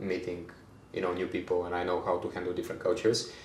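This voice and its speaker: Somewhat breathy speech comes at a fairly quick pace with audible room echo. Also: man. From Bulgaria. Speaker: HR manager. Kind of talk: podcast interview. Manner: hesitant, many fillers and repeats.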